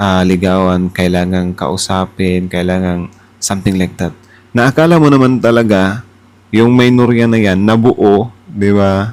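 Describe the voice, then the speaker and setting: With an ordinary speaking voice, a man speaks at a fairly slow pace and a fairly low pitch. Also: ordinary pitch variation. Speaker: political reaction YouTuber. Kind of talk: casual reaction commentary.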